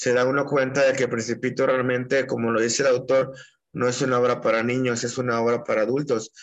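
A man talks at a medium pitch in a monotone with flat intonation. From Mexico, Puerto Vallarta (Jalisco). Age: 30s. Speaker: poet. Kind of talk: interview.

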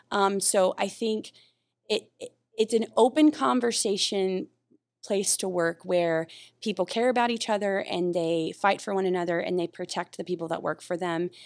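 A woman's normal speaking voice in an American accent, medium in pitch with ordinary pitch variation and a moderate pace, dry and close with no echo, on a very clean recording with a silent background. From North Carolina. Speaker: navy facilities deputy. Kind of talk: podcast interview.

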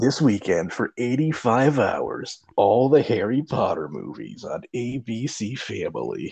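Using a put-on character voice, a man talks at medium pitch and a fairly slow pace, with hardly any pauses. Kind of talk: broadcast announcer. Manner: dramatic, punchy.

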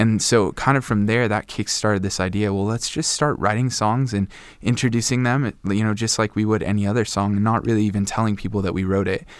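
On a very clean recording with a silent background, a man with a normal speaking voice talks at a fairly quick pace in a fairly low pitch, with fairly even intonation and hardly any pauses. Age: 20s. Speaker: worship leader. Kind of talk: casual interview chat.

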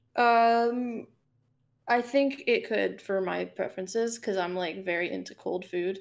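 In a plain, everyday voice with an American accent, the speaker goes at a fairly slow pace with ordinary pitch variation on a very clean recording with a silent background. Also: woman, medium pitch for a woman. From South Florida, Fort Lauderdale area. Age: 20s. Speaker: indie game developer and composer. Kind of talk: casual chat.

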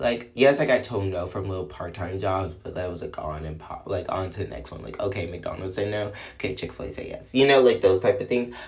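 A man talks at a fairly quick pace with hardly any pauses, his fairly low voice showing ordinary pitch variation and big swings in loudness, with audible room echo around him. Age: 20s. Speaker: podcast host. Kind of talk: casual monologue. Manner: animated.

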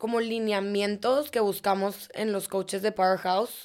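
In a very clean recording with a silent background, a woman speaks in an unremarkable speaking voice. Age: 30s. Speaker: fitness studio co-founder and cycling instructor. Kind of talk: interview.

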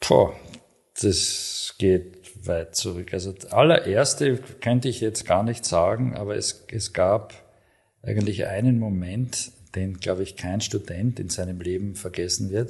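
Against a quiet background, a man speaks at a fairly slow pace in a somewhat breathy voice. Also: fairly low pitch for a man, ordinary pitch variation. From Austria, Graz (Styria). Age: 50s. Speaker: hospital medical director, ENT surgeon. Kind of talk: interview. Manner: hesitant, many filler sounds.

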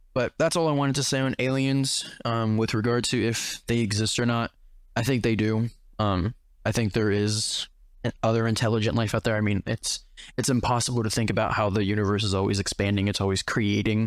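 With a plain, everyday voice, a man speaks at medium pitch and a fairly quick pace, his loudness very even in a very clean recording with a silent background. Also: fairly even intonation. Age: young. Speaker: podcast host. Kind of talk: casual chat.

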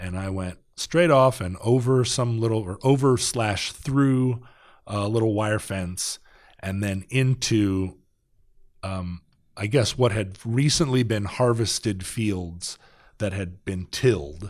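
Very slow speech against a quiet background. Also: man, fairly low pitch for a man, ordinary pitch variation. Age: 40s. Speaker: podcaster and rock musician. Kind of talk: casual chat. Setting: studio.

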